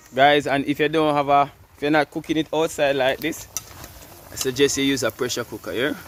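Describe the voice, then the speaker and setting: A man with a Jamaican accent speaks at a fairly quick pace in a monotone, flat way. Noticeable background noise runs underneath. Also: fairly high pitch for a man. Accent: Jamaican English with patois. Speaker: cooking vlogger. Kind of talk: casual vlog chat. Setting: outdoors.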